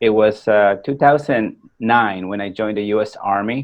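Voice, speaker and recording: This man speaks with a Peruvian accent at a fairly slow pace. His pitch is fairly low and his intonation fairly even. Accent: Spanish (Peruvian) accent, never went away. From Peru, then US from age 14. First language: Spanish. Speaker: war veteran and motivational speaker. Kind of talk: podcast interview, personal story. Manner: hesitant, many fillers.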